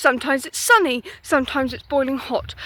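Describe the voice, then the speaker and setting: A woman's high-pitched voice with an English accent, bright, sharp tone, ordinary pitch variation and a moderate pace. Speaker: vlogger. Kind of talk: casual walking vlog monologue. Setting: outdoors.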